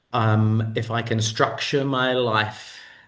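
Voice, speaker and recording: With a New Zealand accent, the voice has a bright, sharp tone. It goes at a very slow pace against a quiet background. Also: man. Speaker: digital nomad, content consultant. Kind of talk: interview answer on video call. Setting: video call.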